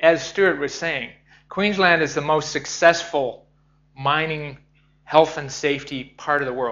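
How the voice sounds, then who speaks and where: With a Canadian accent, a man speaks in an unremarkable speaking voice at a fairly high pitch, with ordinary pitch variation and a moderate pace. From Canada. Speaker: professor, mining safety expert. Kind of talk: conference presentation.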